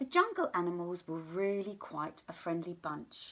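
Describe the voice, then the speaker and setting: A woman speaks at a moderate pace in an unremarkable speaking voice. Her pitch is fairly low, and her intonation is lively. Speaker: teacher reading a story to pupils. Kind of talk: children's story read-aloud. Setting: home recording for remote learning.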